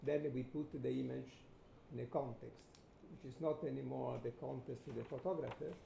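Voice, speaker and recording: A man speaks at a moderate pace with an Italian accent, and the room's echo is audible. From Italy. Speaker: photographer. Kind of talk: lecture.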